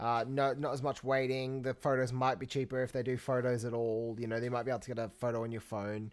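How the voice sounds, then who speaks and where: In an Australian accent, a man rattles along at a very fast pace with fairly even intonation. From England until age ten, then Australia. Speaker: podcast co-host, professional Santa performer. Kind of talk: casual chat.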